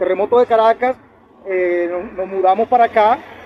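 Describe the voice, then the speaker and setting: This man's voice sits high in pitch, and his intonation stays fairly even. He keeps a moderate pace, recorded with a dry, close sound and no echo. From Venezuela, Valle de la Pascua (Guárico, llanos). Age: 50s. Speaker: lawyer and human rights defender. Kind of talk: casual interview. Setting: outdoors in the sun.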